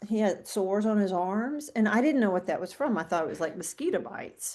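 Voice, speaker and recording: A woman with an ordinary speaking voice talks at a medium pitch with lively intonation. The background is quiet. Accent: American. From US South (central Mississippi). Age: 60s. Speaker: guest sharing recovery story. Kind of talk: casual interview chat.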